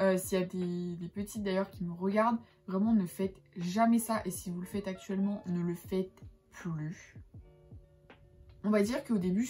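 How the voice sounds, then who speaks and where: With music in the background, a woman speaks at a moderate pace and medium pitch with fairly even intonation. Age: 20s. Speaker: lifestyle vlogger. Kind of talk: casual talk to camera.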